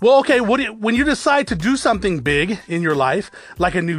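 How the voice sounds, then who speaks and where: Amid noticeable background noise, a man speaks at a fairly quick pace in a high pitch with very wide pitch swings. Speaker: podcast host and business owner. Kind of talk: motivational monologue. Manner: unscripted, off the cuff.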